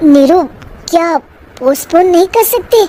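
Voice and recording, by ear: A woman's cartoonish character voice at an extremely high pitch, with lively intonation.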